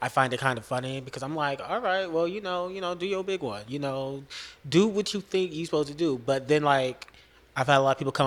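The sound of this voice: Soft-spoken and fast, a man talks at medium pitch with a fairly bright tone and ordinary pitch variation.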